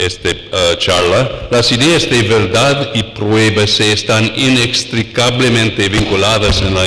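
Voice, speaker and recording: A man with an English accent speaks at a fairly slow pace, his fairly low voice showing ordinary pitch variation. Audible room echo and noticeable background noise surround him. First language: English (speaking Spanish). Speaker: law professor. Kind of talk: lecture. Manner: halting, many fillers.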